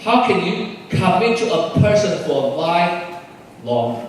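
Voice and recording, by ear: Strong room echo follows a man who speaks slowly in a high pitch with big pitch swings.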